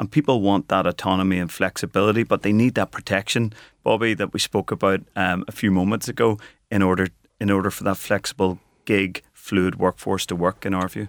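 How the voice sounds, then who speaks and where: A man talks at a fairly quick pace with fairly even intonation and a fairly low pitch. The recording is very clean with a silent background and a dry, close sound with no echo. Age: 40s. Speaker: company co-founder and managing director. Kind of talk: radio interview. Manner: fast.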